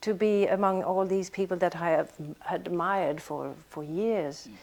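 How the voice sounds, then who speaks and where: In a Swedish accent, a woman speaks at a fairly slow pace with a medium pitch and ordinary pitch variation, in a very clean recording with a silent background. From Sweden. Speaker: actress. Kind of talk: interview. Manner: halting.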